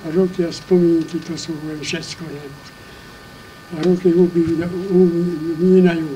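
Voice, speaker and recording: A man talks very slowly in a high voice with monotone, flat intonation and big swings in loudness. Noticeable background noise is present. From Slovakia. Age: 80s+. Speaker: beekeeper. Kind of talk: casual reminiscing talk.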